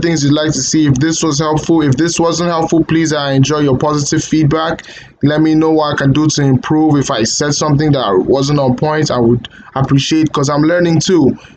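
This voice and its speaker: A man at a fairly high pitch and fairly quick pace, with fairly even intonation and very even loudness, against noticeable background noise. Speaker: coding tutorial creator. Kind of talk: tutorial. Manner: halting, stuttering; hesitant with fillers.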